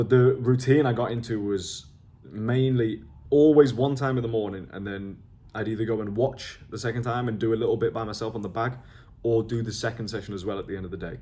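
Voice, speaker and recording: A man with a medium-pitched voice and a dark, mellow tone talks at a moderate pace with fairly even intonation. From northern England, near Liverpool. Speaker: online entrepreneur vlogger. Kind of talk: video journal, talking to camera. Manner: casual, hesitant with fillers and restarts.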